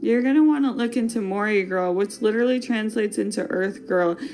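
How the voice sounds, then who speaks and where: In a Wisconsin accent, a woman speaks at a fairly high pitch with ordinary pitch variation, with noticeable background noise and audible room echo. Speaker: fashion podcast host. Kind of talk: casual podcast monologue. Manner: animated.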